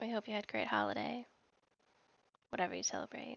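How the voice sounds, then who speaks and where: This woman's voice sits at a fairly high pitch. Her pitch varies in an ordinary way. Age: 30s. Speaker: podcast co-host. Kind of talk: casual chat.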